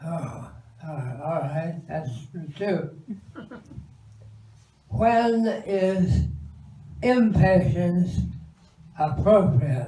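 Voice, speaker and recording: At a very slow pace, a man with a fairly high voice talks with lively intonation, big swings in loudness, and long, frequent pauses. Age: 80s+. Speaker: monk. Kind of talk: leading a question-and-answer session with an audience.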